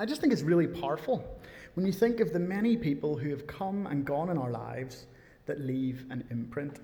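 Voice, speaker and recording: With lively intonation and a fairly quick pace, a man speaks in a fairly high, somewhat breathy voice. His tone is dark and mellow, with audible room echo. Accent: Northern Irish. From Northern Ireland, near Belfast. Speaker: preacher. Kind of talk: sermon. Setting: church.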